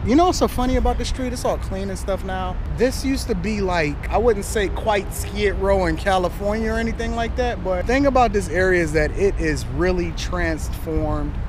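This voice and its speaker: A man talks at a fairly quick pace with hardly any pauses, the sound dry with no echo and noticeable background noise behind him. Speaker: vlogger. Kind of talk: casual vlog chat. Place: street. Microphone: phone near.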